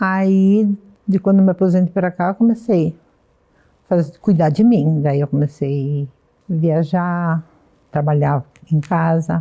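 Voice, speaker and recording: Speaking at a very slow pace with long, frequent pauses, a woman keeps her loudness very even, her fairly low voice dark and mellow with ordinary pitch variation. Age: 70s. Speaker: retiree, senior hip hop dancer. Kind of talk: documentary interview.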